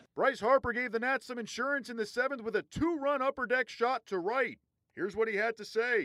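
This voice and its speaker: An extremely high-pitched man speaks in a raised, projected voice at a fairly quick pace, his tone animated, bright and sharp with ordinary pitch variation, in a dry, close sound with no echo. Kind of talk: live sports commentary and game recap. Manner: animated, punchy play-by-play delivery.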